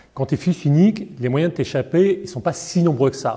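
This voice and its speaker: The voice has a dark, mellow tone, is somewhat breathy, and moves at a moderate pace with lively intonation. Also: man. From Paris, France. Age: 60s. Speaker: foundation director. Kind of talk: interview. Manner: hesitant, many fillers.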